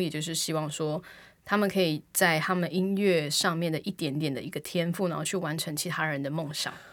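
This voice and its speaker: On a very clean recording with a silent background, a woman speaks at a fairly quick pace with a fairly low pitch. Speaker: podcast co-host and aspiring singer. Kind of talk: casual chat.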